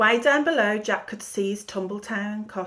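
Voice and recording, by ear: A natural voice reads the words aloud.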